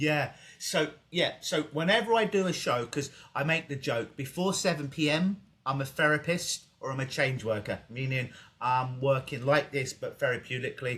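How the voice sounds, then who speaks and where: Speaking in an English accent, a man uses a fairly high pitch, a bright, sharp tone, ordinary pitch variation and a moderate pace. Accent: English accent, noticeable in Canada. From England. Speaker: hypnotist. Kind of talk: casual interview. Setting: video call.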